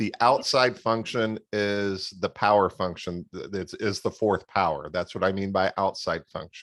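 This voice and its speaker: A man in an unremarkable speaking voice with an American accent, fairly low in pitch with ordinary pitch variation, at a fairly slow pace with hardly any pauses. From Florida, US. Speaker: math tutor. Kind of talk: tutoring session.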